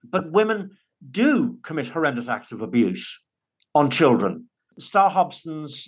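A man speaks with a northern English accent. The background is quiet. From northern England. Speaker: divorced father. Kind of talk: interview.

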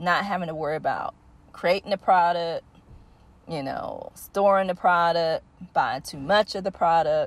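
Recorded very cleanly against a silent background, a woman speaks at a fairly low pitch with ordinary pitch variation. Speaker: online business educator. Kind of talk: tutorial. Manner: casual, hesitant with frequent fillers.

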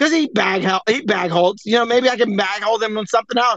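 Bright and sharp in tone, a man's extremely high voice rattles along at a very fast pace with ordinary pitch variation in a dry, close sound with no echo. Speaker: Twitter Spaces host. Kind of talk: profane casual chat. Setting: online audio space. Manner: loud, aggressive ranting; fast talker.

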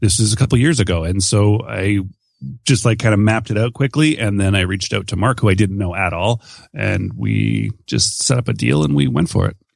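Here is a man with an unremarkable speaking voice and a Canadian accent. His fairly low voice moves at a fairly quick pace with lively intonation. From Canada. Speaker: entrepreneur and podcaster. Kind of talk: interview conversation.

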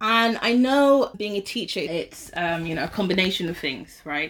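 With a London accent, a woman speaks at a moderate pace using lively intonation. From London, England. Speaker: teacher. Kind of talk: interview. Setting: in person with host.

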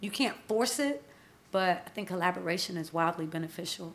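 In a plain, everyday voice, a woman with an American accent speaks fairly quickly at a fairly low pitch. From US South, Atlanta. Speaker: entrepreneur and brand consultant. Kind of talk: interview. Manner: casual.

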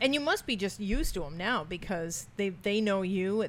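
Speaking at a moderate pace, a woman has a medium-pitched voice. It is a plain, everyday voice. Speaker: psychic medium podcast host. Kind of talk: casual chat. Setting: pub, live on location.

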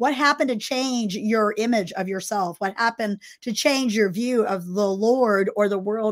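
A woman talks at a moderate pace. Her pitch is fairly high. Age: 60s. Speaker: podcast host and pastor. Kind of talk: casual chat. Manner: energetic.

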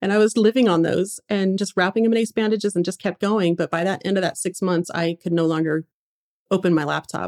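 A woman talks in a normal speaking voice at medium pitch and a fairly quick pace, with fairly even intonation and a dry, close sound with no echo. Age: 30s. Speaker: blogger and internet entrepreneur. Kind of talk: interview.

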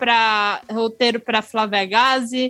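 A woman with a northeastern Brazilian accent speaks at a very slow pace with fairly even intonation. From Northeast Brazil. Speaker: writer and podcaster. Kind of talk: casual chat.

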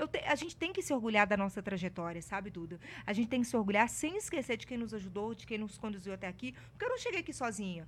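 A woman speaks very fast with lively intonation. Her voice is fairly high and somewhat breathy. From Minas Gerais, Brazil (Ouro Preto). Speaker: journalist and TV presenter. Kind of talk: casual interview chat. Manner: talkative.

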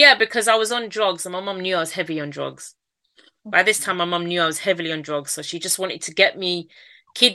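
A woman with a Manchester accent speaks at a very fast pace and a medium pitch, in a bright, sharp tone. Her loudness swings widely, her pitch varies in an ordinary way, and the background is quiet. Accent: Mancunian, northern English. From Manchester, northern England. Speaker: entrepreneur and author, abuse survivor. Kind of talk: interview, personal testimony.

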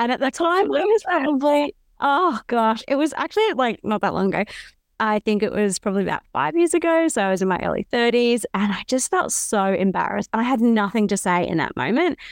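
With an Australian accent, a woman talks at a fairly quick pace in a fairly high voice with very wide pitch swings and very even loudness, the sound dry and close with no echo. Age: 30s. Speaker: podcast co-host, company CEO. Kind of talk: casual chat. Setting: remote call.

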